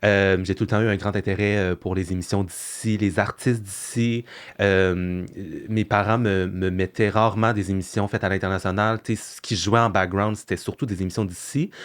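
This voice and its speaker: With a fairly low pitch and monotone, flat intonation, a man speaks at a moderate pace on a very clean recording with a silent background. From Quebec (Sorel). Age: 20s. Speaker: content creator. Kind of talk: podcast interview. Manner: hesitant, many fillers.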